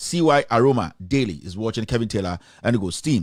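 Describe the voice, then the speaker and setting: A man with a Ghanaian accent speaks very fast on a very clean recording with a silent background. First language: not English. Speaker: online news show host. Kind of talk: live stream news commentary. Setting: live stream. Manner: hesitant, many fillers.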